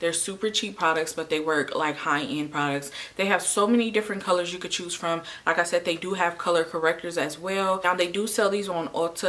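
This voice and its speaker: The pace is fairly quick, with ordinary pitch variation. Noticeable background noise runs throughout. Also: woman. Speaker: beauty YouTuber. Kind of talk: product review tutorial. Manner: fast; animated.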